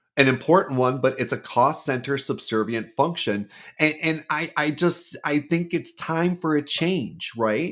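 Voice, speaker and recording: Barely pausing, a man with a fairly high pitch and an ordinary speaking voice talks at a fairly slow pace with ordinary pitch variation, in a very clean recording with a silent background. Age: 50s. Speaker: recruiter. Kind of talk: podcast interview.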